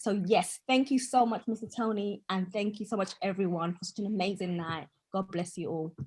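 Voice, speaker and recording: Somewhat breathy, a woman with an East African accent speaks at medium pitch and a moderate pace, with ordinary pitch variation and hardly any pauses. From Tanzania. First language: Swahili. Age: 20s. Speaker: poet and author. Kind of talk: short speech at an online event. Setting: video call, camera off.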